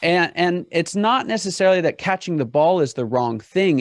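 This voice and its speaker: Talking at a moderate pace in an American accent, a man lets his pitch swing very widely. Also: dry, close sound with no echo. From Pittsburgh, US. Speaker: business consultant. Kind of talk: podcast interview.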